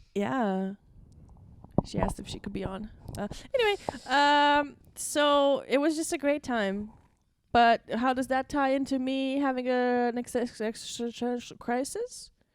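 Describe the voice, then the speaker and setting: A woman with a Latvian accent speaks at a fairly slow pace, with long, frequent pauses. Her pitch is high, with ordinary pitch variation. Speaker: podcast co-host, stand-up comedian. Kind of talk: casual chat. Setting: studio. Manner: animated.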